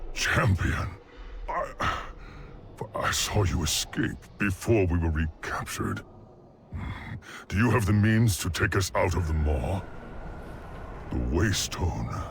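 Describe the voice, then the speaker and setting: A man puts on a character voice with a very deep, low pitch, speaking at a fairly slow pace. Long, frequent pauses break up his lines over clear background noise. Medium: video game. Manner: grave, earnest.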